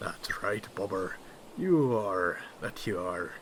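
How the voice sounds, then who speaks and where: Delivered at a very slow pace, a put-on character voice comes through over clear background noise. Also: man, fairly low pitch for a man. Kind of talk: ASMR roleplay.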